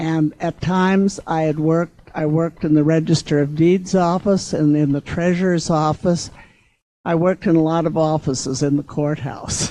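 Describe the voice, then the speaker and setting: Her voice is fairly low, dark and mellow, as a woman speaks at a moderate pace with fairly even intonation. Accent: American. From US Midwest, Sturgis, South Dakota. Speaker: retired county clerk. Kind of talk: reminiscence at a public event. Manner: halting.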